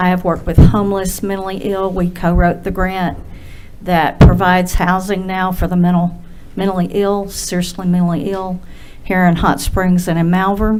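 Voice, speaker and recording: A quiet woman speaks at a moderate pace and a medium pitch, her intonation monotone and flat. The room echo is audible, and background noise is noticeable. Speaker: director of a nonprofit. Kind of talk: public comment at council meeting. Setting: city board meeting. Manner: quiet-spoken.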